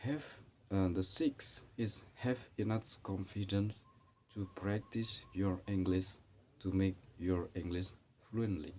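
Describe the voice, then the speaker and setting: A man speaks very slowly, with long, frequent pauses. His fairly low, somewhat breathy voice has a dark, mellow tone and ordinary pitch variation. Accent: Indonesian. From Indonesia, Java. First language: Javanese. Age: 40s. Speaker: English learner vlogger. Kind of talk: monologue on learning English. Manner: halting, non-native phrasing.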